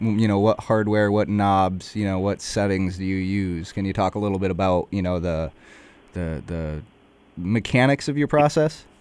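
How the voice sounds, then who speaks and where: This is a normal speaking voice with ordinary pitch variation at a moderate pace. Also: man. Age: 20s. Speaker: interviewer. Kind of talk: casual interview.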